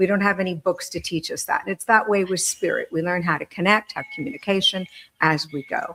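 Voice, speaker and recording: Talking at a fairly quick pace, a woman uses a medium pitch with ordinary variation. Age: 60s. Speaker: medium and author. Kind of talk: panel discussion. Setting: live video stream. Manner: halting.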